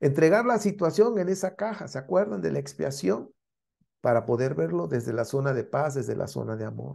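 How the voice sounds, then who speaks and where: Over a quiet background, a man talks at a fairly quick pace. His tone is dark and mellow, with vocal fry and very wide pitch swings. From Mexico. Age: 60s. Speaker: spiritual teacher; course teacher. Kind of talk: lecture. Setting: live stream. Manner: halting.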